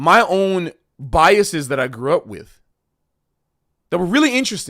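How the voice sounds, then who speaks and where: Very wide pitch swings from a man on a very clean recording with a silent background. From Florida, US South. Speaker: live streamer. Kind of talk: casual livestream talk. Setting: livestream with chat.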